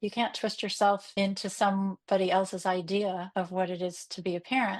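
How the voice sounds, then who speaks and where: A woman with an American accent at a moderate pace and medium pitch, flat and monotone, against a quiet background. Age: 60s. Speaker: unschooling parent and support group admin. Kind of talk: podcast interview.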